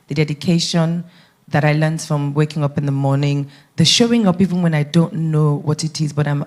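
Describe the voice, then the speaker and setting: Her pitch is very deep and low for a woman. The woman speaks at a fairly quick pace. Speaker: radio broadcaster and media entrepreneur. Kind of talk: panel talk.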